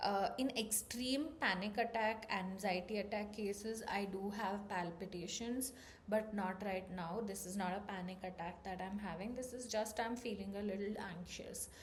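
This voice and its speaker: A woman's medium-pitched voice at a moderate pace, fairly even in intonation, with hardly any pauses and audible room echo. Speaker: vlogger. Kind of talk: personal vlog talk.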